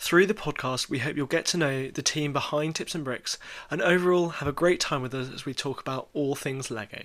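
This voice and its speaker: With a British accent, the speaker talks at a fairly quick pace with ordinary pitch variation in a very clean recording with a silent background. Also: man. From UK. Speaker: podcast host, blog founder. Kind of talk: casual chat.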